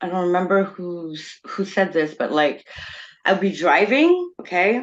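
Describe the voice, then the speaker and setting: With a French accent and medium pitch, a woman talks at a fairly slow pace with lively intonation against a quiet background. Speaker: experiencer panelist. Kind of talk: casual panel discussion.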